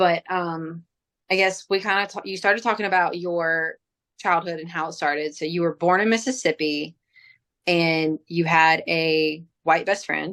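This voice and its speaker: A woman with an American accent and an ordinary speaking voice, fairly low in pitch, fairly even in intonation, at a moderate pace, in a very clean recording with a silent background. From South Alabama and South Louisiana, US South. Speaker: podcast host, teacher. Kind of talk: casual interview.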